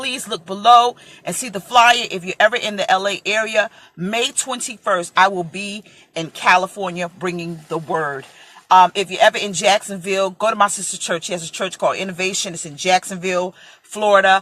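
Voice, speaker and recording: With an American accent, a woman talks at a fairly quick pace and medium pitch, with ordinary pitch variation. Her loudness swings widely over noticeable background noise. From New York (Brooklyn). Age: 40s. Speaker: preacher. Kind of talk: casual chat.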